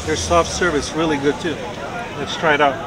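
Clear crowd noise and clear background noise sit behind the voice. The intonation is fairly even and the pace moderate. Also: man, fairly high pitch for a man.

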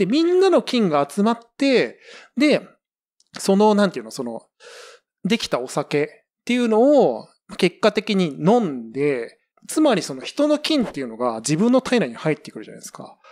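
A man with a high voice talks at a moderate pace, his pitch swinging very widely and his loudness rising and falling sharply, over a very clean, silent background. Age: 40s. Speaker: podcast co-host. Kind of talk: casual chat.

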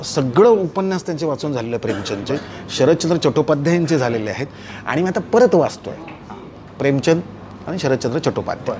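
With light background noise, a man speaks at a fairly high pitch with lively intonation. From Mumbai, Lalbaug; Mumbai. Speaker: film actor; film actor interviewee. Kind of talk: interview. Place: home room. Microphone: lapel.

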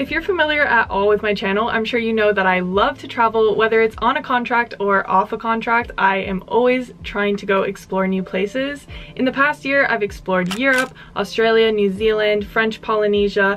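Faint music plays in the background as a woman speaks with hardly any pauses. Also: ordinary pitch variation, moderate pace. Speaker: travel vlogger. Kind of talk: casual vlog chat. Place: home room.

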